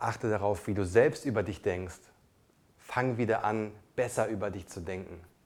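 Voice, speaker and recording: With a non-native accent, the speaker uses ordinary pitch variation at a moderate pace, leaving long, frequent pauses. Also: man, fairly low pitch for a man. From came to Germany as a child refugee. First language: not German (speaking German). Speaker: podcast co-host. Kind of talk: casual chat.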